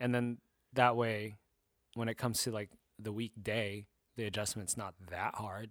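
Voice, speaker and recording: In a dry, close sound with no echo, a man with a Californian accent speaks at a moderate pace in a fairly low, flat monotone, leaving long, frequent pauses. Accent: Californian American English. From Southern California. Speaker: podcast host. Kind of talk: casual chat.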